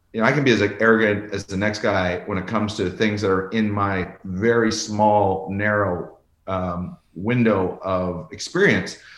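A man's fairly low voice, with ordinary pitch variation, moves at a moderate pace through audible room echo. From rural Canada. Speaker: former ambassador. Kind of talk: interview conversation.

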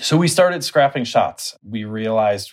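A man with fairly low pitch uses lively intonation. It is an ordinary speaking voice. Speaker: cinematographer. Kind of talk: casual interview chat. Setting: video call.

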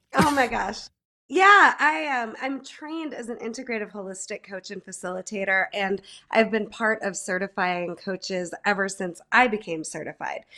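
A woman with an ordinary speaking voice uses lively intonation and big swings in loudness at a moderate pace in a very clean recording with a silent background. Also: medium pitch for a woman. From central New York, Mohawk Valley. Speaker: life coach and music therapist. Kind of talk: casual interview.

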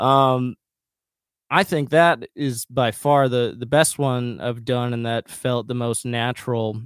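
A man with an American accent speaks very slowly at a medium pitch, his intonation fairly even and the sound dry and close with no echo. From rural west central Minnesota, US. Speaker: musician. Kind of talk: casual interview.

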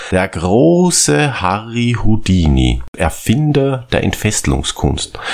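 A man's voice over noticeable background noise. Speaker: podcast co-host. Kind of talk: casual comedic chat.

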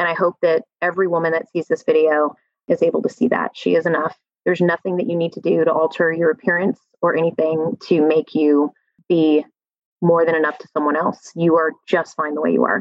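A woman at a fairly low pitch, fairly quick pace and fairly even intonation. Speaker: corporate leader and dancer. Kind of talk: casual interview chat. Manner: loud.

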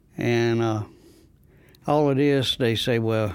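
This man speaks at medium pitch with a Southern US accent. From North Carolina, near Goldsboro. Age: 70s. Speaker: community activist. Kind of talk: testimony.

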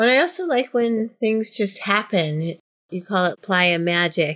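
Against a quiet background, a plain, everyday voice from a woman, medium-pitched with ordinary pitch variation. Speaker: office administrator and wellness educator. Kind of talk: casual interview.

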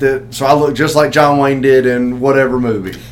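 A man with a Southern US accent, medium in pitch, at a fairly quick pace amid noticeable background noise. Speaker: podcast host. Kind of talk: casual chat.

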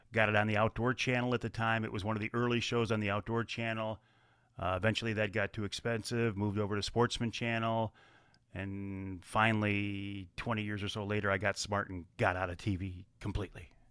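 The speaker talks at a fairly quick pace in an Upper Midwest accent. The intonation stays monotone and flat. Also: man, fairly low pitch for a man, very clean recording, silent background. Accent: Upper Midwest American. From Michigan, Kent County. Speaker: outdoor TV and magazine host. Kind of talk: interview.

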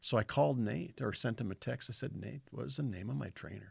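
On a very clean recording with a silent background, a man talks at a very fast pace with a fairly low pitch and vocal fry. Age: 50s. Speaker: fence contractor and former rancher, ministry worker. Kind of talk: testimony.

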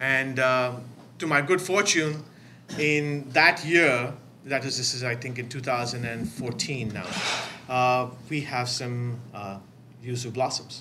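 Medium pitch from a male speaker, rising and falling in an ordinary way. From India (Bombay). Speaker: citrus grower. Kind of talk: live panel talk. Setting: coffee shop event with audience.

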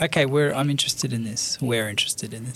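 A man with an Australian accent talks at a fairly quick pace amid noticeable background noise. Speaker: bookshop owner. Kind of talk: interview. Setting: studio.

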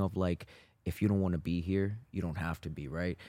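With a New York accent, a man speaks at a moderate pace in a very deep, low voice with a dark, mellow tone. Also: dry, close sound with no echo, very clean recording, silent background. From Brooklyn, New York. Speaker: jiu-jitsu instructor and podcast co-host. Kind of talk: casual chat.

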